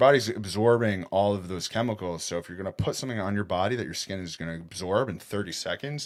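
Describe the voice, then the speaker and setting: Talking at a very fast pace with hardly any pauses, the speaker sounds animated, with big swings in loudness and ordinary pitch variation. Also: man, fairly low pitch for a man. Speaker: podcast host. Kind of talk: casual monologue.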